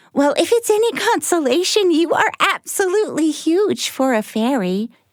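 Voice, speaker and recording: A female-sounding put-on character voice reaches an extremely high pitch. The pace is moderate. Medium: read story. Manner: rambling, giggly, scatterbrained.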